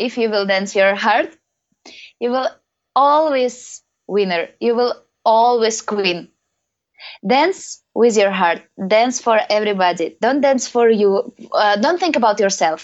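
Speaking at a fairly slow pace with long, frequent pauses, a woman with a non-native accent uses a fairly high pitch and lively intonation. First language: not English. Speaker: professional belly dancer and teacher. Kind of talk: interview. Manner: halting.

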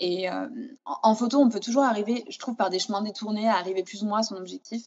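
Speaking very fast, a woman keeps a fairly even intonation at a fairly high pitch. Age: 30s. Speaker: food photographer and stylist. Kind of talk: interview. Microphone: sound problems in some passages.

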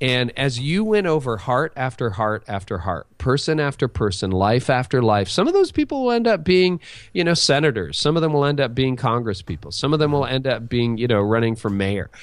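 On a very clean recording with a silent background, a man with a plain, everyday voice speaks at medium pitch and a fairly quick pace, with lively intonation and hardly any pauses. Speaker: pastor. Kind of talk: interview.

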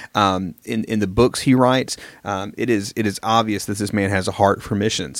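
A fairly low-pitched man with a Southern US accent and fairly even intonation, on a very clean recording with a silent background. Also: moderate pace. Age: 30s. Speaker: minister and podcast co-host. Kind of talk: casual chat.

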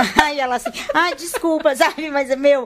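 A woman speaks at a moderate pace. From Rio de Janeiro, Brazil. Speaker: speech therapist. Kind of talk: casual chat.

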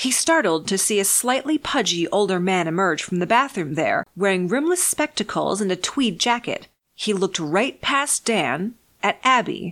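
In a dramatic tone, a woman at a medium pitch makes very wide pitch swings while keeping her loudness very even. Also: moderate pace. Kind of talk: horror audiobook narration, eerie third-person storytelling. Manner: measured, hushed, ominous, with dramatic pauses.

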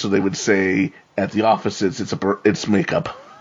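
Amid noticeable background noise, a man with an American accent talks in a fairly low voice with fairly even intonation. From New York. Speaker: podcast co-host. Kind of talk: casual discussion.

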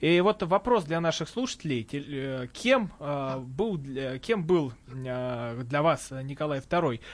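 A man's fairly high voice at a very slow pace against a quiet background. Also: lively intonation. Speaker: radio host. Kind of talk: radio talk show hosting. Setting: studio. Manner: halting.

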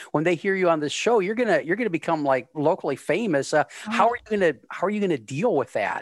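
A man talks with hardly any pauses. The sound is dry and close with no echo, though background noise is noticeable. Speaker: podcast host.

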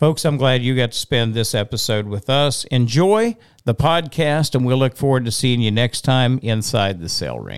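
A man's unremarkable speaking voice at a medium pitch with ordinary pitch variation, a moderate pace and hardly any pauses, in a very clean recording with a silent background and a dry, close sound with no echo. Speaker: auctioneer podcast host. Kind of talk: casual chat. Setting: studio. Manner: chatty, joking.

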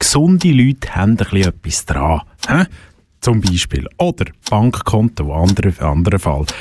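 With very even loudness and a somewhat breathy, fairly low voice, a man speaks at a moderate pace with very wide pitch swings, the sound dry and close with no echo. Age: young. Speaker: radio host. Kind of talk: casual chat. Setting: studio.

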